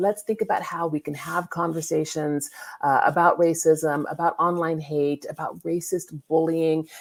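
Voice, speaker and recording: A woman's plain, everyday voice with an American accent, fairly low in pitch, at a moderate pace with fairly even intonation. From California. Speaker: lawyer and law professor, digital safety consultant. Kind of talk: online summit interview.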